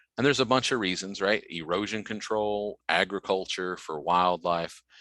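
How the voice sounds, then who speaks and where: A man's very deep, low voice with a bright, sharp tone and a slight Southern US accent, at a moderate pace, dry and close with no echo on a very clean recording with a silent background. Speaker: extension educator. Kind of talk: lecture.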